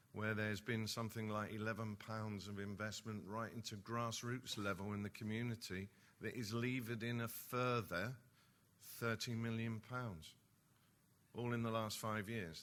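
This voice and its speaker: This man has an East End London accent. He keeps to a moderate pace. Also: fairly low pitch for a man. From East London. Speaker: nuclear industry executive. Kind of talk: conference speech. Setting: conference hall with audience. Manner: animated.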